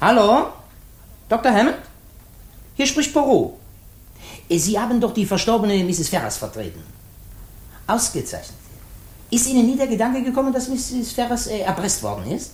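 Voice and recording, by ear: Using a put-on character voice, a man speaks at an extremely high pitch with a slightly mellow tone, very wide pitch swings, and long, frequent pauses. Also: moderate pace.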